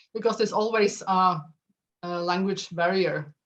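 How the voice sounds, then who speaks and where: A woman speaks with a Norwegian accent at a medium pitch. Her pace is fairly quick and her intonation fairly even. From Norway, Drammen. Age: 50s. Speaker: astrophysicist and author. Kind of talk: casual chat. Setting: video call. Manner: halting.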